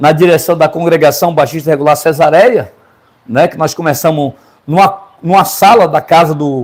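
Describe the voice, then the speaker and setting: Delivery moves along at a moderate pace. There is ordinary pitch variation throughout. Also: man. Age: 60s. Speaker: pastor. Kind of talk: interview.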